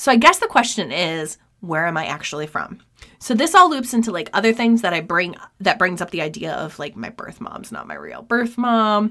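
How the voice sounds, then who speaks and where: A woman with an American accent speaks at a moderate pace in a medium-pitched, bright, sharp voice. Her pitch swings very widely and her loudness rises and falls sharply. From New York State. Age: 30s. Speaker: true crime podcast host. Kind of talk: casual chat and case narration.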